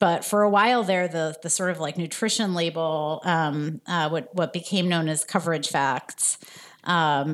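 Speaking in an American accent, a woman has an unremarkable speaking voice at a fairly low pitch. Her pace is moderate and her intonation lively. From New Jersey suburbs. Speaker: health policy nonprofit leader. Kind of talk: interview.

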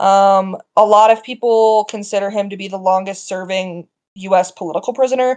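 A woman with an American accent speaks at a moderate pace and medium pitch in a plain, everyday voice. Her intonation is fairly even, but her loudness swings a lot. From US Midwest, small-town Iowa. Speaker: journalist. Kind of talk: interview.

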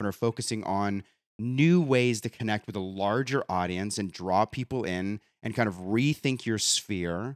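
This man's voice sits at a medium pitch and has an energetic tone with ordinary pitch variation. The recording is very clean, with a silent background and a dry, close sound that has no echo. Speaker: podcast host. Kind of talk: interview.

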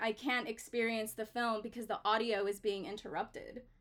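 At a moderate pace, a woman talks in an animated tone with fairly high pitch. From Los Angeles, California (Mexican-American). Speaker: filmmaker and painter. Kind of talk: casual interview. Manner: animated, expressive.

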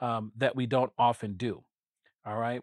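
With an unremarkable speaking voice, a man talks at a moderate pace and medium pitch, with fairly even intonation and a dry, close sound with no echo. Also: very clean recording, silent background. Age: 40s. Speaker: podcast host and pastor. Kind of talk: casual chat.

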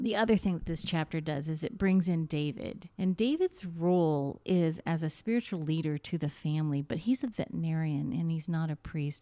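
A woman speaks in a dark, mellow tone with a fairly low pitch. She keeps a moderate pace and ordinary pitch variation. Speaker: radio host. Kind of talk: radio interview.

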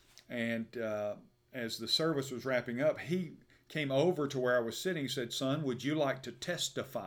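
Over a very clean recording with a silent background, a man with an Alabama accent speaks with ordinary pitch variation. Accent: Southern US (Alabama). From US South, Birmingham, Alabama. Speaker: pastor. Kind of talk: interview about his life and faith. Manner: hesitant, many fillers.

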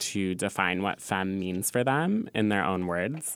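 The recording is very clean, with a silent background. A man with an American accent speaks at a fairly low pitch. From California. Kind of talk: casual chat. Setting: studio.

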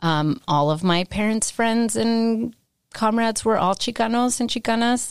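With an American accent, a woman speaks in an unremarkable speaking voice at a fairly high pitch, her loudness very even, in a very clean recording with a silent background. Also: ordinary pitch variation. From US West, San Jose, California. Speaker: history professor. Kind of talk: interview.

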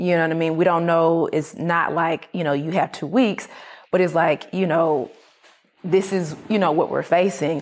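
With an American accent, a woman talks at a moderate pace in an ordinary speaking voice, fairly low in pitch and fairly even in intonation. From US South, Atlanta, Georgia. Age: 30s. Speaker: entrepreneur. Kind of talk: interview.

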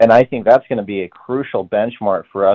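This is an unremarkable speaking voice from a man. His pitch sits at a medium level with ordinary variation. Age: young. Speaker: young Republican party official. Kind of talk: radio interview.

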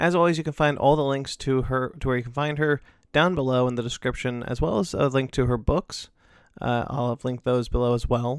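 A man mumbles at a fairly quick pace with an American accent. His medium pitch keeps a fairly even intonation. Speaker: podcast host. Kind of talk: casual interview. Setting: video call. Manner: mumbling, halting.

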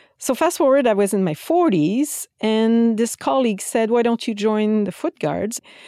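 On a very clean recording with a silent background, a woman with a Quebec French accent speaks at a moderate pace with hardly any pauses, a fairly high pitch, a dark, mellow tone and lively intonation. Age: 50s. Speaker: military flute player. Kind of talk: interview.

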